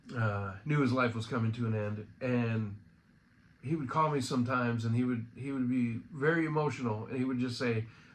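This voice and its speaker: Audible room echo surrounds a man speaking at a fairly quick pace. His pitch is medium, and his intonation is fairly even. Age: 50s. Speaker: friend giving a memorial remembrance. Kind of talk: personal remembrance monologue. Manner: casual, halting.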